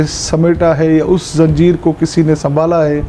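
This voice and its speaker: A man speaks with a fairly high pitch over noticeable background noise. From Pakistan, Sindh (Tharparkar). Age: 20s. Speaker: politician. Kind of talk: interview.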